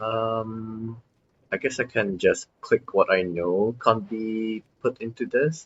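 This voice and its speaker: A man mumbling at a very slow pace. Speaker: gaming streamer. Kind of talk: gameplay commentary. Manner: hesitant, many fillers.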